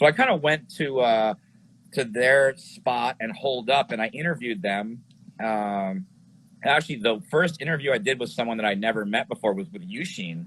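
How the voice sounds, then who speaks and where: An ordinary speaking voice, a man talks in an American accent with medium pitch. His pace is moderate and his intonation lively. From New York City area. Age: 40s. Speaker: glass pipe maker and filmmaker. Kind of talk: casual interview. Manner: casual, filler-heavy.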